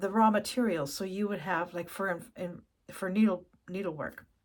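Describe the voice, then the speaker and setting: A woman with a Canadian accent speaks at a fairly slow pace and a medium pitch, on a very clean recording with a silent background. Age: 60s. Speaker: crafts YouTuber. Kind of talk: casual chat. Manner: halting.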